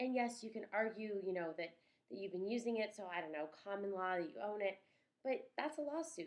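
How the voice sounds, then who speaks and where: A woman at a fairly quick pace, animated in tone. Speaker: vlogger and social media consultant. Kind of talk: vlog tutorial. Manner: fast.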